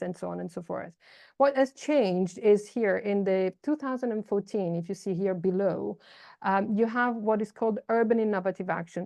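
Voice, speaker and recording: With an Italian accent, a woman speaks at a moderate pace in a medium pitch with ordinary pitch variation. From Italy. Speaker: urban policy expert. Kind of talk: online seminar talk. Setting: video call.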